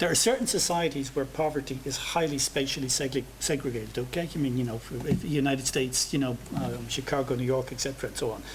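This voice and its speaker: Very fast speech in an Irish accent, hardly any pauses, against noticeable background noise. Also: man, medium pitch for a man, fairly even intonation. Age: 60s. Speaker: professor. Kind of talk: seminar Q&A answer. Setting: seminar with audience. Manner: halting, many repetitions.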